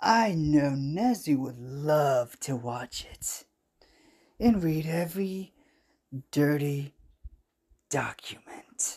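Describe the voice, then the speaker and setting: Using a put-on character voice, a man speaks at a fairly high pitch with lively intonation. His pace is very slow. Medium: read story. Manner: bitter, self-justifying.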